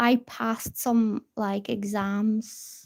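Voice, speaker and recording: A woman's fairly high voice in a Bulgarian accent, monotone and flat, on a very clean recording with a silent background. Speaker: tarot reader. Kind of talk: live stream tarot reading chat. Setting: live stream at a table.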